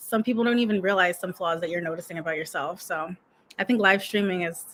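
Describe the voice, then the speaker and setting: The tone is bright and sharp, with ordinary pitch variation and a fairly quick pace. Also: woman. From United States. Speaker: YouTube coach. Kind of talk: casual vlog monologue. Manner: fast; stumbles over words.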